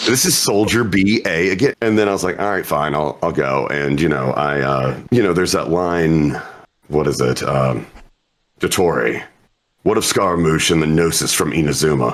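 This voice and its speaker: Speaking at a moderate pace, a man with a very deep, low pitch uses lively intonation and keeps his loudness very even. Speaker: voice actor. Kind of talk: interview.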